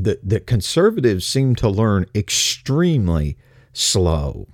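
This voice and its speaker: A relaxed man with a Texas accent, very wide pitch swings, and a very clean recording with a silent background. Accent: Texas Southern US. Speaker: radio host. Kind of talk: casual newsreading-style show opening, informal address to listeners. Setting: streaming radio show, solo. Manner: relaxed, folksy, conversational.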